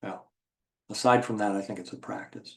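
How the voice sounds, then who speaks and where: A man talks in a fairly low voice. His intonation stays fairly even. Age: 60s. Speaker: trading educator. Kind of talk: webinar Q&A. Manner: casual, many fillers.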